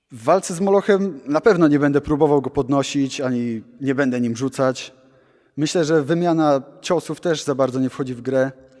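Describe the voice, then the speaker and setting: With a plain, everyday voice, a man speaks at a moderate pace and a fairly high pitch with ordinary pitch variation and big swings in loudness, on a very clean recording with a silent background. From Poland, Gdańsk. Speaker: pro wrestler. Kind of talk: interview.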